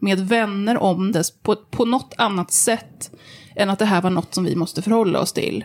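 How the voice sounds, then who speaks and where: Moderate pace, medium pitch and ordinary pitch variation from a woman with an unremarkable speaking voice. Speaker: journalist and body activist. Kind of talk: interview.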